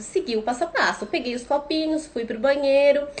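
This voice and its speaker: At a moderate pace, a woman with a high-pitched voice speaks over noticeable background noise. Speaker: parenting educator, mother. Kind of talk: live stream talk. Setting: Instagram live.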